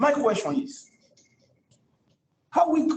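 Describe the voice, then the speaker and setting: A man speaks with a non-native accent. His pitch swings very widely. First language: not English. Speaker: student. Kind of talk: question in class. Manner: halting, repetitive.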